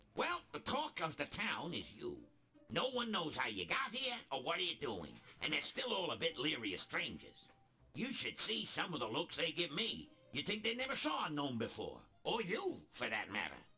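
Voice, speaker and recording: Using a put-on character voice, a man talks at a moderate pace. His pitch sits high. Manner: conversational, acted.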